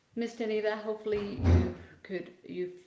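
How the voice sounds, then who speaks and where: A woman speaks at a moderate pace, and room echo is audible. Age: 60s. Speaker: physical therapist. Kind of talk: livestream Q&A. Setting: video livestream. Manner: loud.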